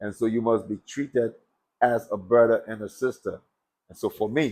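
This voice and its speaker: Intonation stays fairly even while the delivery keeps a moderate pace. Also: man, medium pitch for a man. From Liberia. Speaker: former boxer. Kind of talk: interview.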